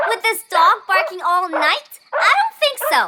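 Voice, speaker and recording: In a cartoonish character voice, someone squeaks along at an extremely high pitch and a fairly slow pace. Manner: insistent, loud.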